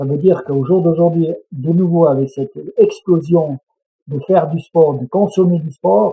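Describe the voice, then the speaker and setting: Pitched high for a man, his voice moves with ordinary variation. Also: fairly slow pace. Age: 60s. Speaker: mountain guide and adventurer. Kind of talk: interview conversation.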